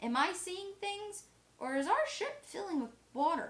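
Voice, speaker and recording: In a put-on character voice, a woman sounds squeaky at an extremely high pitch, with very wide pitch swings at a moderate pace. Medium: read story.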